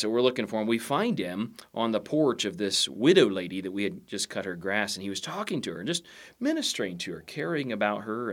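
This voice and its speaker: A man with an American accent speaks at medium pitch. His pitch swings very widely. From Southeast Indiana. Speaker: chaplain. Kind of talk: podcast interview, storytelling.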